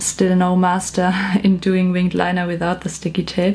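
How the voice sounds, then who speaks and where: A woman at medium pitch with a strong German accent, at a moderate pace. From Germany. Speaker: beauty vlogger. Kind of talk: makeup tutorial. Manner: hesitant with fillers.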